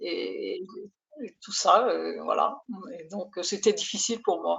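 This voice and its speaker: Speaking at a very slow pace, a woman shows big swings in loudness. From France. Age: 70s. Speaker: coaching client. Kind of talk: testimony. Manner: halting.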